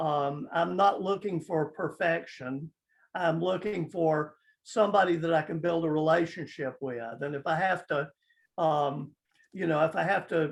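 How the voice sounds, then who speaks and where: A man with a high voice speaks at a moderate pace with ordinary pitch variation. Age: 70s. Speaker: news site editor and publisher. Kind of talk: interview. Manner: halting, many fillers.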